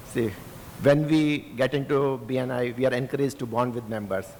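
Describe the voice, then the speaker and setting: Speaking at a moderate pace with an Indian accent, a man uses a medium pitch and ordinary pitch variation. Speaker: audience member, app developer. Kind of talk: audience question. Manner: halting.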